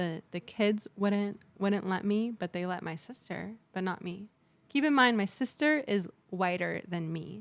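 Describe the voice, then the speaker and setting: The speaker has an American accent and lively intonation. The pace is fairly slow. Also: woman, medium pitch for a woman. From San Diego, US. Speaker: podcast guest. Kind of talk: casual chat. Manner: loud; talkative.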